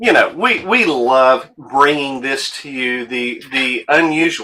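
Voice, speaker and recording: Bright and sharp in tone, a man's fairly high voice moves at a very slow pace with ordinary pitch variation. His loudness swings widely. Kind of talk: live sales show. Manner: animated.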